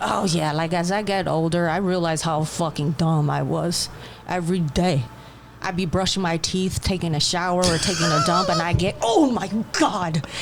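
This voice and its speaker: Against noticeable background noise, a woman with a fairly low voice talks at a moderate pace with ordinary pitch variation. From China, Wuhan. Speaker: comedian. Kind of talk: casual chat. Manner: hesitant, many fillers.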